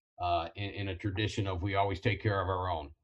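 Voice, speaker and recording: Against a quiet background, a man with a fairly low pitch and a somewhat breathy voice speaks at a fairly quick pace. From Ohio, Toledo. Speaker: college football coach and Marine veteran. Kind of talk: casual interview. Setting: video call.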